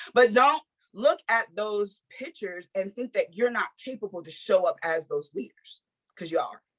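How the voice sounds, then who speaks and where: The sound is dry and close, with no echo. A somewhat breathy woman speaks with very wide pitch swings. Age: 30s. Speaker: network marketing distributor. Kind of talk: motivational testimony talk.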